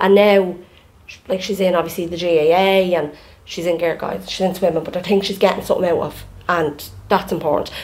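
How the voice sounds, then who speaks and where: A woman talks at a fairly quick pace in an Irish accent. Her pitch is fairly low and her intonation monotone and flat. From Ireland. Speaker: podcast co-host. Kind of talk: casual chat. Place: home room. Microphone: studio mic.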